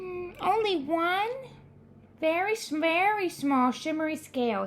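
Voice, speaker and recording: Clear background noise sits behind a woman doing a put-on character voice. She speaks fairly slowly at an extremely high pitch. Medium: read story.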